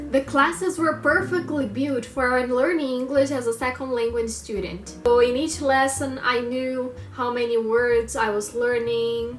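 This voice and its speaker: A woman with a Brazilian accent speaks at a high pitch and a fairly slow pace with hardly any pauses and ordinary pitch variation, amid noticeable background noise and audible room echo. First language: Portuguese. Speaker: language learner vlogger. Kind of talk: personal monologue vlog. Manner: halting, with fillers.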